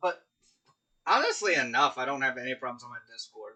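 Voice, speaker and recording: A man's fairly high-pitched voice. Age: 30s. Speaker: gaming streamer. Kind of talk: casual live stream chat. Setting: live stream with chat. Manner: hesitant, many fillers.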